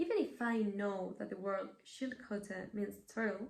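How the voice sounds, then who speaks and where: Audible room echo surrounds a woman speaking with a Spanish accent. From Mexico. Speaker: language learner presenting an essay. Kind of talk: scripted video essay.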